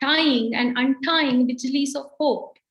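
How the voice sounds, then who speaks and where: A woman with a Kannada accent, high-pitched, at a very slow pace. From India, Karnataka. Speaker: poet. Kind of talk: poetry reading.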